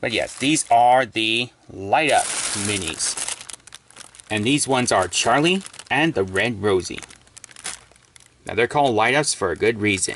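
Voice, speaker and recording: A man speaks at a fairly slow pace with long, frequent pauses and lively intonation. The sound is dry with no echo, over light background noise. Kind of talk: casual unboxing commentary. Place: home room. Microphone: phone near.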